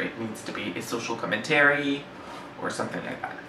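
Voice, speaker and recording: At a moderate pace, the speech comes with audible room echo and noticeable background noise. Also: man. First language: French. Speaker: book reviewer. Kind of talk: casual book discussion. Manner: halting, many fillers.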